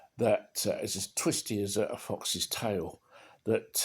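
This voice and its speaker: A fairly low-pitched man with a British accent on a very clean recording with a silent background. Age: 70s. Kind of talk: casual talk to camera. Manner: rambling, hesitant.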